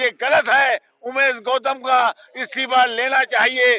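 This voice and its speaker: Raised and projected, a man's voice sits at an extremely high pitch with monotone, flat intonation, and the sound is dry and close with no echo. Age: 70s. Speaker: party worker and protester. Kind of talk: street interview at a protest.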